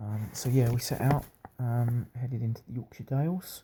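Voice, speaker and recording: Soft-spoken and somewhat breathy, a man with a British accent speaks in a dark, mellow tone with ordinary pitch variation. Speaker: video blogger on a long-distance cycling trip. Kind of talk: casual video diary. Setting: B and B room at night. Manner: quiet, talking softly; hesitant, many fillers.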